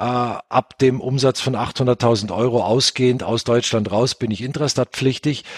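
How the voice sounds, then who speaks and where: In an ordinary speaking voice at medium pitch, a man talks at a fairly slow pace, with a dry, close sound and no echo. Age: 40s. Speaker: software company founder. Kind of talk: interview. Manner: many filler sounds (äh).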